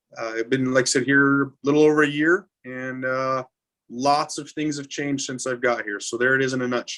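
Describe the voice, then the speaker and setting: A man with an American accent and a bright, sharp tone at medium pitch, fairly even intonation and a fairly quick pace. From Montana. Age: 40s. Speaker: fire chief. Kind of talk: interview on a webcast. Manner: hesitant, many uh fillers.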